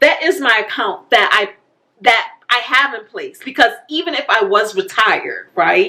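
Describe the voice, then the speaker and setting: The speaker talks at a fairly slow pace in a bright, sharp tone, with very wide pitch swings and big swings in loudness. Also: woman, high pitch for a woman. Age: 50s. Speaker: personal finance YouTuber. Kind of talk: casual vlog talk.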